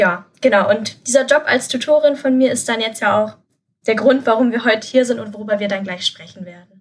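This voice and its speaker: At a fairly quick pace, a woman with a fairly high pitch sounds somewhat breathy, with ordinary pitch variation and big swings in loudness. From Germany, Lower Rhine (Krefeld). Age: 20s. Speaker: university student and tutor. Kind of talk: interview.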